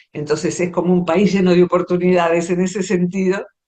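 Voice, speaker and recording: Speaking with an Argentine accent, a woman has a fairly low pitch. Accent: Rioplatense Argentine Spanish. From Argentina, Buenos Aires area. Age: 60s. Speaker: psychologist and poet. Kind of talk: interview conversation.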